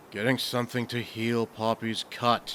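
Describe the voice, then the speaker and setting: A man's put-on character voice at a medium pitch and moderate pace, with clear background noise. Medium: audio drama.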